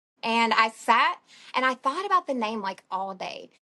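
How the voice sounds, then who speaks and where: A woman speaks at a moderate pace in an Alabama accent. Her tone is bright and sharp, over a quiet background. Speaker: plant shop owner. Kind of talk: podcast interview.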